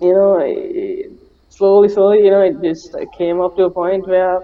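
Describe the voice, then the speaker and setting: A man with a high pitch speaks at a fairly slow pace. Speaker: animator. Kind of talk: interview. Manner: soft-spoken; halting, many fillers.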